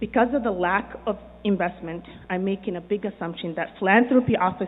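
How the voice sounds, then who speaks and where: Here a woman speaks at a moderate pace with a medium pitch and ordinary pitch variation. It is a plain, everyday voice. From immigrant to the US. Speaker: business owner and developer. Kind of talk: prepared speech.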